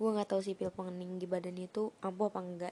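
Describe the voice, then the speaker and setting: Her tone is dark and mellow. The woman speaks in a monotone, with flat intonation. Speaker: podcast host. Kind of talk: casual solo podcast talk.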